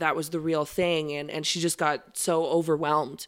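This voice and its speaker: Here a woman speaks at a moderate pace with an Albertan accent. Her pitch is very deep and low, and the recording is very clean with a silent background. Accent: Canadian (Alberta). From Alberta, Canada (Okotoks). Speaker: country singer. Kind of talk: casual interview chat.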